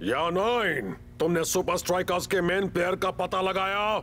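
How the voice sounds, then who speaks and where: In a put-on character voice, a man speaks at a high pitch and moderate pace with very even loudness. Background noise is clearly present. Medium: fan dub. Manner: curt, commanding.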